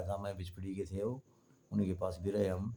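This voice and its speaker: A man speaks in a dark, mellow tone at a fairly low pitch, his intonation monotone and flat. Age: 70s. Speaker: retired folk theatre performer. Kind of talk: interview.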